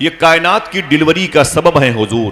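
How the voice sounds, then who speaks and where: A man speaks with very wide pitch swings. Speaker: Islamic preacher. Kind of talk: religious sermon. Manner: impassioned, emphatic.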